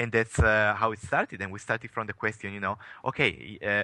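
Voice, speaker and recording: A man talks at a fairly quick pace and medium pitch. The tone is bright and sharp, the sound dry and close with no echo. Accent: Italian. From Italy. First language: Italian. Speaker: tech company CEO. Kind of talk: interview. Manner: halting, many fillers.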